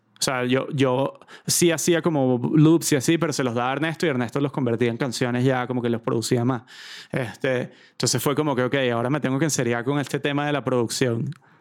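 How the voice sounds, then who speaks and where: An ordinary speaking voice from a man at medium pitch, with fairly even intonation and a fairly quick pace. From Venezuela, Caracas. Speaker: musician and creative director. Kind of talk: casual chat.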